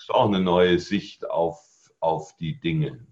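Fairly slow and with lively intonation, a man speaks in an ordinary speaking voice. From Germany, Allgäu (Bavaria/Swabia). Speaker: network marketing trainer and speaker. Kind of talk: podcast interview. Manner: calm, composed.

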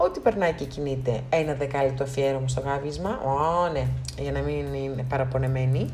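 In a room with audible echo, a woman speaks at a moderate pace with a very deep, low pitch. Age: 30s. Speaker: podcast host. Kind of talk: motivational monologue.

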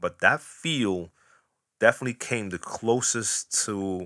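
At a fairly slow pace, the speech comes through dry and close with no echo, on a very clean recording with a silent background. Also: man. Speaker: DJ podcast host answering questions. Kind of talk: solo Q&A monologue. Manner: casual, unscripted.

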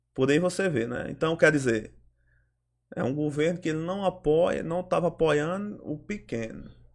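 On a very clean recording with a silent background, a man speaks at a moderate pace with a fairly high pitch and ordinary pitch variation. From Ceará, Brazil. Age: 30s. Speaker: local political organizer. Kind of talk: interview. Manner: halting.

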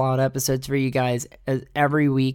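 The recording is very clean with a silent background, carrying a man's medium-pitched voice. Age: 30s. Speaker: solo podcast host. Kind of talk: casual monologue. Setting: home recording setup. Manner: animated.

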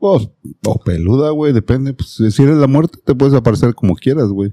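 Speaking with a Mexican accent, a man with a dark, mellow tone and medium pitch talks at a moderate pace with lively intonation. The sound is dry and close, with no echo. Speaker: podcast host. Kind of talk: casual chat; storytelling.

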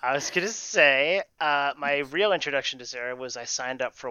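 With a normal speaking voice, a man talks at a moderate pace using lively intonation. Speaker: improv and leadership coach. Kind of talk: casual interview chat.

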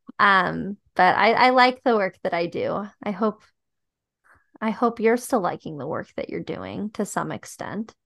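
A woman talks at a fairly slow pace. The sound is dry and close with no echo, over a quiet background. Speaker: podcast host. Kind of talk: casual comedic chat.

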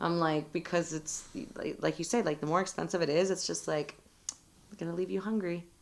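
With a Southern Californian accent, a woman speaks at a fairly quick pace. Her voice is fairly low in pitch, and her intonation is fairly even. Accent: Southern Californian American. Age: 30s. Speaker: licensed vocational nurse, bartender and mother. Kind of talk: casual chat.

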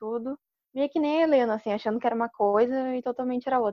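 Her words come at a very fast pace as this woman speaks. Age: 20s. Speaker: university student. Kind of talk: casual chat.

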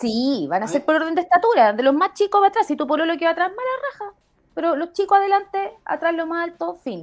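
Pitch swings very widely as the speaker moves along at a fairly quick pace. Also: woman, extremely high pitch for a woman. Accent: Chilean. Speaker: podcast co-host. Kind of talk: casual chat.

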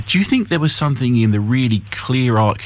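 A man speaks at a very fast pace with ordinary pitch variation. Noticeable background noise runs behind him. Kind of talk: live radio DJ patter: upbeat break-time station ID, time check and guest recap. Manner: brisk, bright and polished, with a smooth broadcaster rhythm.

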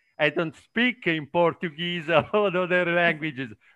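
A man speaks with an Italian accent. His voice sits high for a man. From Italy. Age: 50s. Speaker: production manager. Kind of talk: casual conversation practice. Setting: video call. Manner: halting, searching for words.

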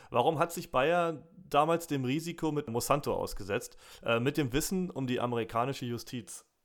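Recorded very cleanly against a silent background, a man with fairly high pitch speaks in a normal speaking voice at a moderate pace with ordinary pitch variation. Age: 30s. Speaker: podcast host. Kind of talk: interview.

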